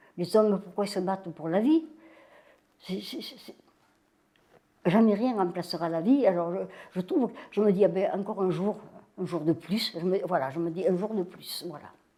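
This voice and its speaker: A woman speaks at medium pitch in a dark, mellow tone, with ordinary pitch variation and big swings in loudness. Her pace is moderate, broken by long, frequent pauses. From southern France (Vaucluse, Bollène). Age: 90s. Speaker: elderly interviewee. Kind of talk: life-story interview. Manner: halting, many repetitions.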